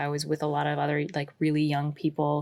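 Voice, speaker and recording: On a very clean recording with a silent background, a woman talks with a West Coast accent. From Pacific Northwest, suburbs of Portland, Oregon. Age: 20s. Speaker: folk musician. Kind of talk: interview. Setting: home recording in a closet.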